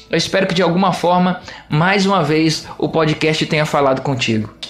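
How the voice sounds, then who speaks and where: With music in the background, a man with a high pitch speaks at a moderate pace in an animated tone with lively intonation. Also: very even loudness. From Minas Gerais, Brazil (Juiz de Fora). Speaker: pastor and podcast host. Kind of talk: solo podcast talk with sermon-like teaching.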